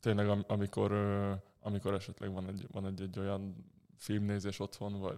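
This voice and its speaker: A man talks at a very fast pace. His voice is fairly low, with a dark, mellow tone. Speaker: professional handball player. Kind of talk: interview. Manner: halting.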